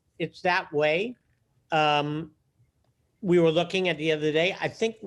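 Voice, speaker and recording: In a very clean recording with a silent background, a man with a high pitch talks at a fairly slow pace and with fairly even intonation. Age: 70s. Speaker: theater producing artistic director. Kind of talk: interview.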